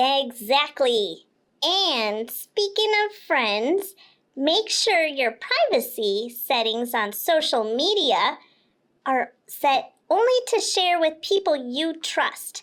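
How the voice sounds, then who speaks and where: A woman puts on a cartoonish character voice, high-pitched and very slow. Her pitch swings very widely. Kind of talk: kids' educational podcast explanation. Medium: puppet.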